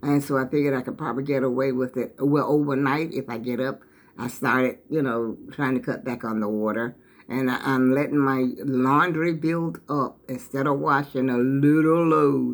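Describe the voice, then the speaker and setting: Pitched very deep and low, a woman speaks at a moderate pace with ordinary pitch variation. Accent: American. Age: 70s. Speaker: vlogger. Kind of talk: casual vlog monologue. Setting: at home, briefly outdoors. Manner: rambling, conversational.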